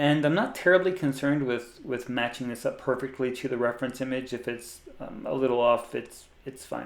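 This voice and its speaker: At a fairly quick pace with hardly any pauses, a man with a slight US East Coast accent talks at a medium pitch with fairly even intonation. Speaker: 3D artist and tutorial creator. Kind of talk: software tutorial. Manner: casual, with frequent fillers and repeats.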